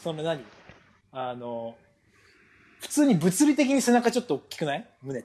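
A dark, mellow voice at a moderate pace, with very wide pitch swings, big swings in loudness, and long, frequent pauses. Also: man, high pitch for a man. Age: 20s. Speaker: podcast host, pro footballer. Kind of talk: casual chat.

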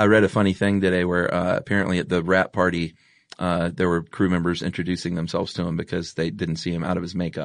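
Over a quiet background, a man with an American accent speaks at a very fast pace in a very deep, low pitch with monotone, flat intonation. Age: 40s. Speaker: podcast host. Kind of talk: casual chat; scripted narration.

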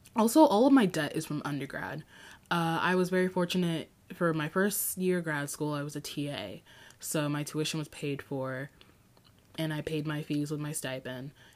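An animated tone at a moderate pace with ordinary pitch variation. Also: woman, very deep, low pitch for a woman. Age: 20s. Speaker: podcast host. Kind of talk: casual solo podcast monologue. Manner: animated, frequent laughter.

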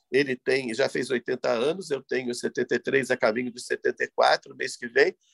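The recording is dry and close, without echo. A man talks fairly slowly. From Rio de Janeiro, Brazil. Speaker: composer. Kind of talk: interview. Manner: halting, with repetitions.

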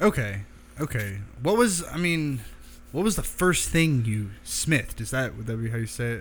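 At a moderate pace, a man with a medium pitch speaks in a somewhat breathy voice that makes very wide pitch swings. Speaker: podcast host. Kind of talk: casual interview. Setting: in a knife shop.

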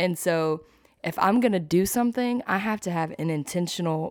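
Recorded very cleanly against a silent background, a woman with an ordinary speaking voice talks at a moderate pace in a fairly low pitch with lively intonation. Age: young. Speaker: church podcast co-host. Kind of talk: casual chat.

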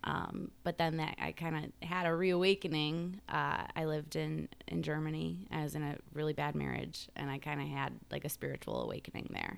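A woman with an American accent keeps a moderate pace with hardly any pauses. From Chicago southwest suburbs, US. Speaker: author. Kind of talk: interview, casual conversation.

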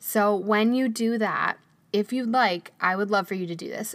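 A woman with a plain, everyday voice, moderate pace and fairly even intonation, on a very clean recording with a silent background. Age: 30s. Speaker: podcast host and photographer. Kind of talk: casual interview podcast.

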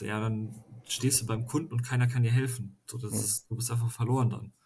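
A man speaks at a moderate pace in a medium-pitched, somewhat breathy voice with flat, monotone intonation. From western Germany, near Düsseldorf. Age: 20s. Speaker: master craftsman. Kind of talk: casual chat.

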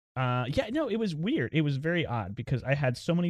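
The background stays quiet. A man with an American accent speaks very fast. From US South, eastern North Carolina. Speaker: podcast host. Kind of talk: casual interview. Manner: hesitant, many fillers.

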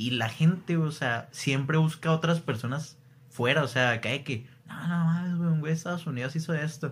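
A man has an ordinary speaking voice with a fairly high pitch. He moves at a moderate pace with ordinary pitch variation. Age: 20s. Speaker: podcast host. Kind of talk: casual chat.

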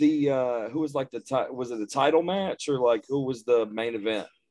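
With a Texan accent, a man speaks at a medium pitch using ordinary pitch variation. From Texas. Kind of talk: casual chat, podcast interview.

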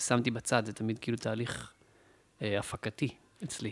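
The man speaks at a moderate pace, with a dry, close sound without echo on a very clean recording with a silent background. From Israel, Beersheba. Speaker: music producer and musician. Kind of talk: casual chat. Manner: halting.

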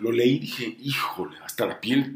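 A man's medium-pitched, ordinary speaking voice at a moderate pace. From Honduras and Mexico. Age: 40s. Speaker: music TV presenter. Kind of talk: interview.

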